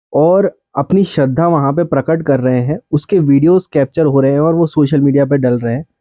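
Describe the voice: A man speaks at a moderate pace in a medium pitch with a dark, mellow tone and ordinary pitch variation, recorded with a dry, close sound and no echo.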